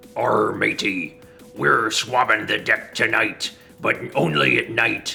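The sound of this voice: Raspy and put on as a character voice, a man's medium-pitched speech moves at a fairly slow pace over clear music in the background.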